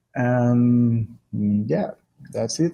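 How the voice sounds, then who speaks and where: This man speaks with a strong Brazilian accent in a dark, mellow tone that is somewhat breathy, his intonation fairly even. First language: Portuguese. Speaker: exercise and depression researcher, professor. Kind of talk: podcast interview. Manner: hesitant, many fillers.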